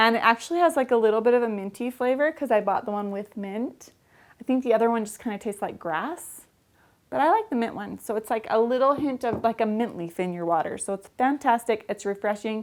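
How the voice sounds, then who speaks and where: A woman talks at a very fast pace. Her fairly high voice shows ordinary pitch variation. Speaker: vlogger. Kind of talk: casual vlog. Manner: animated.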